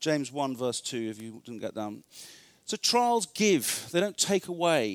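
A man with an English accent speaks at a moderate pace on a very clean recording with a silent background. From northern England. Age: 40s. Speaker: retreat speaker. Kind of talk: sermon.

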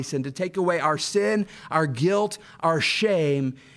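With an American accent, a man speaks at a fairly slow pace in a high pitch with ordinary pitch variation over noticeable background noise. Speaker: pastor. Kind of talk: sermon.

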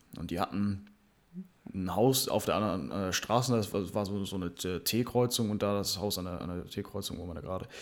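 A man talks at a fairly quick pace in a fairly low pitch with ordinary pitch variation. It is an unremarkable speaking voice on a very clean recording with a silent background. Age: 20s. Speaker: podcast co-host, landscape gardener. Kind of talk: casual chat. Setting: same room.

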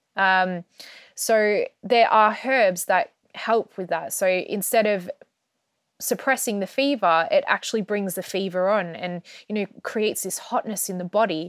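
A woman speaks slowly with an Australian accent, her dry, close sound free of echo on a very clean recording with a silent background. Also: medium pitch for a woman, ordinary pitch variation. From Australia (Melbourne). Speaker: herbalist and astrologer. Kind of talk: interview.

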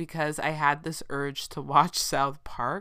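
A woman with an American accent speaks at a very deep, low pitch, her bright, sharp tone held to fairly even intonation on a very clean recording with a silent background. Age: 30s. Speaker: podcast host. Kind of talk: casual solo monologue.

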